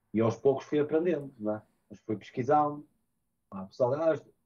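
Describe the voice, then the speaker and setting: Ordinary pitch variation in a man's dark, mellow voice. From northern Portugal, Porto area; northern Portugal. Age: 30s. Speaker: DJ and music producer; DJ. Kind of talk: interview. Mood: calm, reflective. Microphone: video call.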